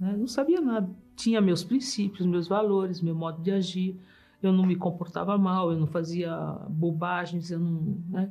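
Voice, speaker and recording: Music plays behind a woman with a medium pitch. She talks at a fairly slow pace with fairly even intonation. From Brazil (São Paulo). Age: 70s. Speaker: engineer giving testimony. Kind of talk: testimony.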